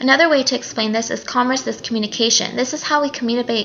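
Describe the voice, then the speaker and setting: Noticeable background noise surrounds a woman speaking at a high pitch with ordinary pitch variation. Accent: American. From Nevada, US. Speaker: college student. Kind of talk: class video presentation. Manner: loud; halting.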